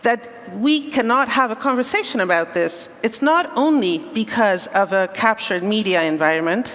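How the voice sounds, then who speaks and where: A woman with a fairly high pitch and very wide pitch swings keeps her loudness very even and talks at a moderate pace with hardly any pauses, against noticeable background noise. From Hungary. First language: Hungarian. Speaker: panel chair, civil society advocate. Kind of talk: panel discussion opening remarks.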